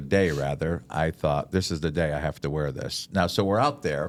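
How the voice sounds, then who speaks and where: A man speaks in a very deep, low pitch with vocal fry. His tone is animated. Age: 60s. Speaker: chaplain and pastor. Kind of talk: casual chat. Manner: animated storytelling.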